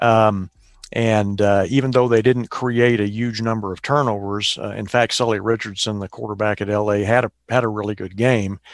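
With a fairly low pitch and flat, monotone intonation, a man talks at a moderate pace. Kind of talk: casual chat. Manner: hesitant with fillers.

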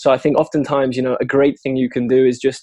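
A man speaks with a British accent. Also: dry, close sound with no echo. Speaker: software developer. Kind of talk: interview. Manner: articulate.

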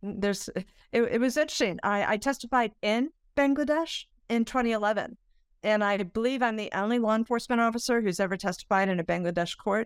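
A woman's fairly high voice at a very fast pace, with ordinary pitch variation, a dry, close sound with no echo, and a very clean recording with a silent background. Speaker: retired FBI agent and corruption investigator. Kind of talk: interview. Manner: halting with many fillers.

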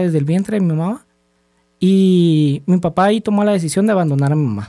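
Speaking with a Guatemalan accent, a man has a dark, mellow tone at a high pitch, moving at a fairly quick pace with lively intonation. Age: 30s. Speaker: small business owner. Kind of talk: personal testimony in interview. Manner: halting with fillers.

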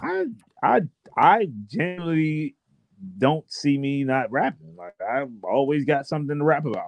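Speaking in a normal speaking voice with an American accent, a man at a fairly high pitch talks at a fairly slow pace with big swings in loudness. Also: lively intonation. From Washington DC. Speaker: rapper. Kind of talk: casual interview.

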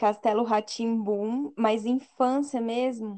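Against a quiet background, a woman speaks at a very slow pace. Her fairly high voice has a dark, mellow tone and fairly even intonation. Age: 20s. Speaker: podcast co-host. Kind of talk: casual chat.

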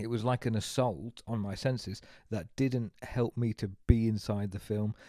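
In a dark, mellow tone, a man talks at a fairly slow pace and medium pitch, with a dry, close sound that has no echo. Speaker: podcast co-host. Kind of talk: casual chat. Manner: animated.

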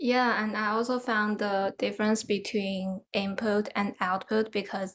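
Speaking at a very slow pace with a Chinese accent, a woman keeps her medium-pitched voice in fairly even intonation. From China. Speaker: podcast host. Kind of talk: casual conversation.

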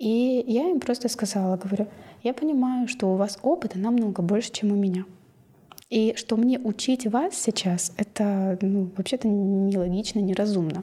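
A woman's somewhat breathy voice, dark and mellow in tone, at medium pitch with ordinary pitch variation, moderate pace and very even loudness. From Kazakhstan, Ridder (small mining town). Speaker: coach. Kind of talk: casual interview.

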